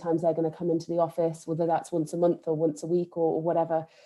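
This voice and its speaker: A woman speaks with an East Midlands accent at a fairly low pitch. Her intonation is monotone and flat. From Nottingham, England. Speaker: think tank staff member. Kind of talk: panel discussion. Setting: online video event.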